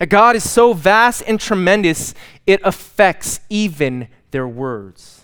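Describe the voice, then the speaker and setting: At a very slow pace, a man speaks with a high pitch and very wide pitch swings. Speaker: preacher leading a fellowship group. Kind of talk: sermon. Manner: more refined, polished speech when preaching.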